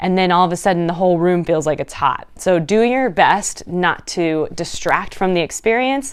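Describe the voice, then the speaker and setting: A woman with a medium pitch speaks in an animated tone. The recording is very clean, with a silent background. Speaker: fitness instructor. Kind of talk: tutorial. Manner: fast.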